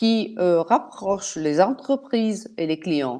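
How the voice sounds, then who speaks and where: Against a quiet background, a woman with a non-native accent speaks very slowly using lively intonation. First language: not French (speaking French). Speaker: partner alliance manager. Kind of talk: webinar presentation. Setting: online webinar. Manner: halting, many hesitations.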